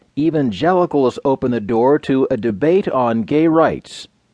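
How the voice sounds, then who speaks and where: In an unremarkable speaking voice, a man of medium pitch talks at a fairly slow pace with lively intonation, the sound dry and close with no echo and the background quiet. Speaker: news narrator. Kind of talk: scripted news reading of newspaper stories. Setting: studio. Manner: measured, even and formal delivery; clear, crisp newsreader enunciation.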